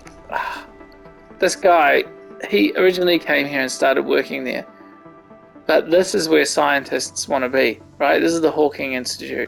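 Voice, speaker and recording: A man speaking at a moderate pace, with long, frequent pauses and music in the background. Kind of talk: casual gameplay commentary.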